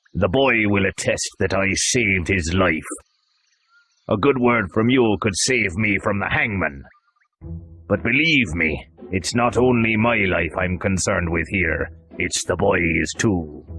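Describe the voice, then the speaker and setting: A man's put-on character voice, fairly low in pitch and fairly slow, over faint music in the background. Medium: read story. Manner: forceful, calculating.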